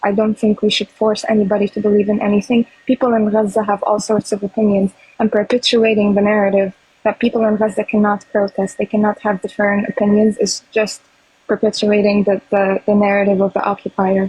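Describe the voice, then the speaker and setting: A woman with a non-native accent talks fairly quickly in monotone, flat intonation at very even loudness. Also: medium pitch for a woman. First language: not English. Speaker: pro-Palestinian activist. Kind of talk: heated debate.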